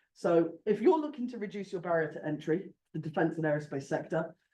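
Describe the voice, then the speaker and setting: Loud and dark, a man speaks in a mellow tone. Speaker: company representative. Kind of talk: short pitch presentation at industry event. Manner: energetic, enthusiastic.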